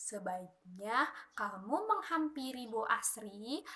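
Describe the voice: Slowly, a woman performs a put-on character voice with a bright, sharp tone, a fairly high pitch and big pitch swings.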